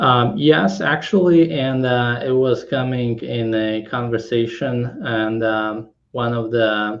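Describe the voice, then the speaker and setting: This man talks very slowly with hardly any pauses, keeping a medium pitch and ordinary pitch variation. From Kazakhstan, then Poland. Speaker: tech startup founder. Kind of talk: interview. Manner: halting, many fillers.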